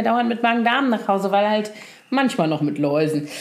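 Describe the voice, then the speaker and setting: Noticeable background noise and audible room echo accompany a woman talking at a fairly quick pace. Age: 40s. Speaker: podcast co-host. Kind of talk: casual chat.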